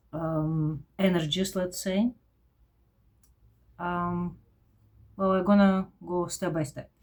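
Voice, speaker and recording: Speaking very slowly with a strong Eastern European accent, a woman uses a fairly low pitch and fairly even intonation, broken by long, frequent pauses. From former Soviet Union. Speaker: vlogger. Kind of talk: personal vlog monologue. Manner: halting, with fillers.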